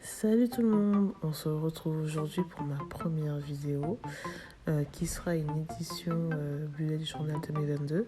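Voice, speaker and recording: With music in the background, a woman speaks at a fairly slow pace in a very deep, low pitch with ordinary pitch variation. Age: 20s. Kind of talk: casual voiceover for a craft video. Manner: hesitant, unsure.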